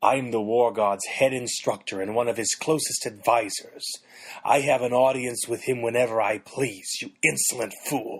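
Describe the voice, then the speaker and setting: In a put-on character voice, a man growls at a moderate pace and a medium pitch. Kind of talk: haughty, commanding. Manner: growling, biting.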